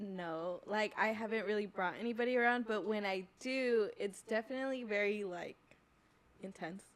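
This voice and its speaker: A woman with an American accent speaks at a moderate pace in an unremarkable speaking voice. Her pitch is fairly high and her intonation fairly even. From California. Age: 20s. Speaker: podcast guest. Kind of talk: casual chat.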